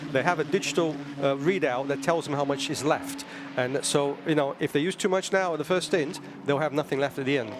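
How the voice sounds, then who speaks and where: A man's rather quick speech stays fairly even in intonation, with music in the background. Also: fairly high pitch for a man. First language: not English. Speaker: racing driver turned co-commentator. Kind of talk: live commentary. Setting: commentary box.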